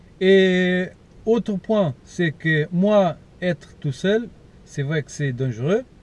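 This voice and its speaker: A man's high-pitched voice with a Portuguese accent, very slow, with ordinary pitch variation. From Portugal. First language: Portuguese (speaking French). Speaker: paranormal investigator YouTuber. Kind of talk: vlog to camera. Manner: halting, many hesitations.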